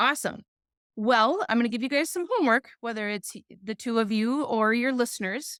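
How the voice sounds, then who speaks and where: A woman with an American accent speaks loud and high-pitched in an animated tone, with ordinary pitch variation. Her pace is fairly quick, and the recording is very clean with a silent background. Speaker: business teacher. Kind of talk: podcast interview.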